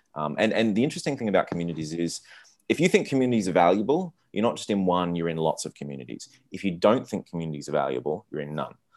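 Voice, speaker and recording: Speaking very fast in an Australian accent, a man with a very deep, low pitch uses lively intonation on a very clean recording with a silent background. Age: 30s. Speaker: entrepreneur. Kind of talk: casual interview. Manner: halting, many repeated words.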